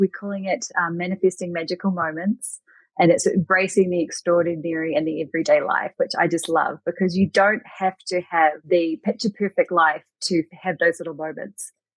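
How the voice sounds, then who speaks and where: With a New Zealand accent, a woman speaks at a fairly low pitch with fairly even intonation against a quiet background. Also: moderate pace, dry, close sound with no echo. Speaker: Reiki master teacher. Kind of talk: podcast interview answer.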